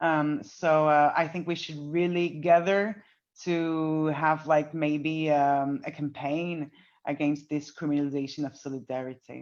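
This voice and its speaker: Against a quiet background, a woman with a non-native accent and a very deep, low voice speaks at a fairly slow pace with fairly even intonation. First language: not English. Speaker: activist. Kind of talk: panel discussion. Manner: halting.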